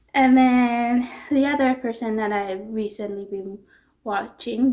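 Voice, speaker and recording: Mumbling, a woman speaks at a fairly slow pace. Her pitch shows ordinary variation. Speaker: booktuber. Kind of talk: casual vlog talk. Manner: hesitant with fillers.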